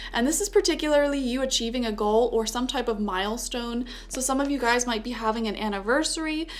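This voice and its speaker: Over noticeable background noise, a woman talks fairly quickly in a fairly high voice with ordinary pitch variation. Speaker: tarot reader. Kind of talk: tarot reading monologue. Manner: halting, stuttering; casual, filler-heavy.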